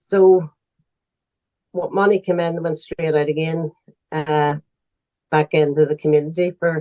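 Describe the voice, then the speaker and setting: With a Northern Irish accent, a woman speaks in a monotone at a very deep, low pitch, her dark, mellow tone recorded dry and close with no echo, broken by long, frequent pauses. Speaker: charity founder. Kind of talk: interview answer.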